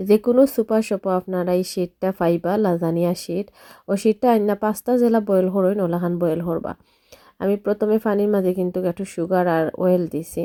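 A woman's dark, mellow tone at medium pitch, fairly even in intonation, in a dry, close recording with no echo. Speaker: cooking vlogger. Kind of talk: cooking tutorial. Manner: loud.

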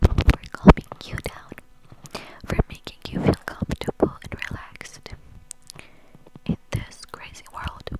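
Whispering and soft-spoken, a woman uses a soothing tone at a very slow pace with long, frequent pauses, in a dry sound with no echo over light background noise. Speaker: ASMR creator. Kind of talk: soft ASMR talk to viewer. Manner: soft soothing close whisper. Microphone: lapel.

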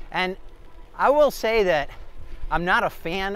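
Dry, echo-free male speech with normal pitch movement. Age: 50s. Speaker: e-bike reviewer. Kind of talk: ride-along commentary; product review. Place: bicycle. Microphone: phone near.

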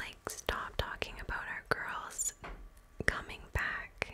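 A soft-spoken woman whispers at a very slow pace over noticeable background noise. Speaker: storyteller. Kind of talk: soft-spoken story narration. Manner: soft close-mic whisper, storytelling. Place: home room. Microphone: studio mic.

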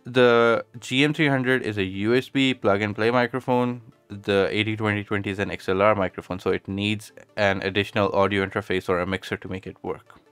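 Fairly quick and fairly low-pitched, the man speaks with fairly even intonation. The sound is dry with no echo, and faint music plays in the background. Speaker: tech reviewer. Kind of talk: product review. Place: home room. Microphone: studio mic.

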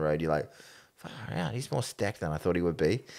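A man with a New Zealand accent speaks over a quiet background. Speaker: sports podcast co-host. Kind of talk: casual chat. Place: studio. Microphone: studio mic.

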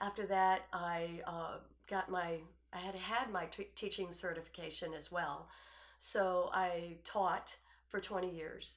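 Over a quiet background, the speech moves at a very slow pace in a relaxed tone with monotone, flat intonation. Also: woman, medium pitch for a woman. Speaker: artist. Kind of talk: self-presentation. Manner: relaxed, with frequent fillers. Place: home room. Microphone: lapel.

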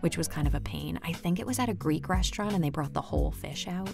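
A woman's upbeat tone over music in the background. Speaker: audiobook narrator. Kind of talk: casual interview answer. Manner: chatty, upbeat.

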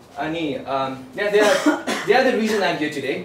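The speech runs at a fairly quick pace, with light background noise and audible room echo. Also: man. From Nepal. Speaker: student. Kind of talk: student class presentation. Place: hall. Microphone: camera far.

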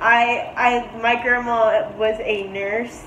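Against light background noise and audible room echo, a woman speaks with ordinary pitch variation. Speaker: vlogger. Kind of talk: casual vlog chat. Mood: cheerful, laughing often. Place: home room. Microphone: phone near.

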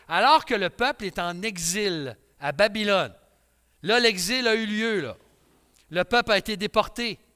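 In a raised, projected voice, a man speaks at a fairly slow pace with high pitch and lively intonation. His tone is bright and sharp against a quiet background. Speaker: pastor. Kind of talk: sermon. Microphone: headset.

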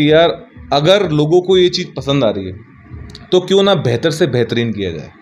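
With faint music in the background, a man in a Bihari accent speaks at a moderate pace in a fairly high pitch, with very wide pitch swings and big swings in loudness. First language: Bhojpuri (speaking Hindi). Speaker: music composer; interviewee. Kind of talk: interview. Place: home room. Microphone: handheld.

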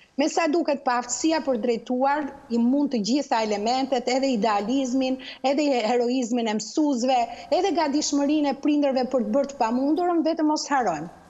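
The woman's voice is high-pitched and very even in loudness, with ordinary pitch variation. She talks at a fairly quick pace over noticeable background noise. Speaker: university lecturer. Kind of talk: TV interview. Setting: Skype video call.

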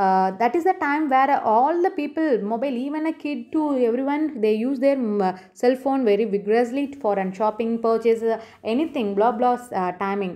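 A woman's high voice with a dark, mellow tone, in a Tamil Indian accent at a moderate pace. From India, Tamil Nadu. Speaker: YouTuber, shopping tips. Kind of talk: tutorial. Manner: halting, many fillers.

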